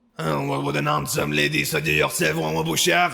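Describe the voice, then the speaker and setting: Using a put-on character voice, a man speaks raspy and very deep at a fairly quick pace, keeping his loudness very even. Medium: audio drama. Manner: gruff, guarded, dismissive.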